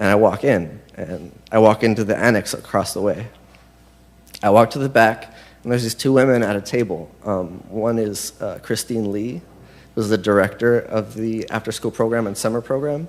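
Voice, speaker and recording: Ordinary pitch variation marks a man's medium-pitched voice, delivered at a moderate pace with an American accent. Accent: sounds American. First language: Spanish. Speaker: confirmation candidate. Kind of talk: testimony. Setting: church. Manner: halting.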